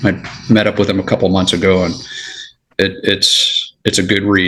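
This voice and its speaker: A man with an American accent has a plain, everyday voice, fairly low in pitch, at a moderate pace with fairly even intonation and very even loudness. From Los Angeles, California. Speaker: retired federal agent. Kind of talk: casual chat.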